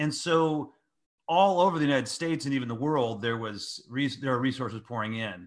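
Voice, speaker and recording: Against a quiet background, a man with an ordinary speaking voice talks in a medium pitch with an American accent. His pace is fairly quick and his intonation lively. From US, San Francisco Bay Area. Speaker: pastor and author. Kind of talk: interview conversation.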